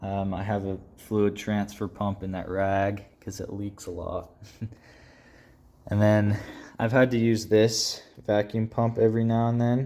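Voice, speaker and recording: At a fairly slow pace and fairly low pitch, a man speaks in a dark, mellow tone with flat, monotone intonation and long, frequent pauses. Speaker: entry level automotive technician. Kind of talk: casual toolbox tour talk to camera.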